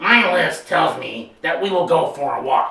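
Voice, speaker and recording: With slight echo, a growling put-on character voice at a middle pitch moves at a moderate pace. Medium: read story.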